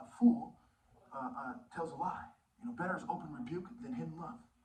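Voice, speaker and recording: Very wide pitch swings from a man, echoing audibly in the room. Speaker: martial arts teacher. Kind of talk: video monologue. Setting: filmed video. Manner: animated.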